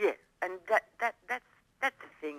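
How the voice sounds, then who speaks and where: A woman speaks with an Australian accent in a bright, sharp tone. The sound is dry and close, with no echo. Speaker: female Elvis tribute performer. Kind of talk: radio interview.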